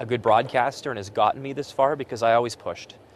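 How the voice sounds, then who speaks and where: A man talks at a fairly quick pace with a western Canadian accent and fairly even intonation, the sound dry with no echo and light background noise behind him. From Alberta, Canada. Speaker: sports broadcaster. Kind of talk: interview; TV sports hosting. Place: stadium. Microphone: lapel.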